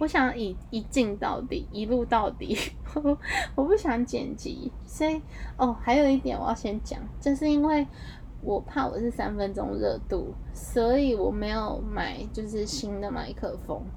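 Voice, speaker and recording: Noticeable background noise runs behind the recording. A woman speaks at a fairly slow pace. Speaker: podcast host. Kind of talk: casual monologue.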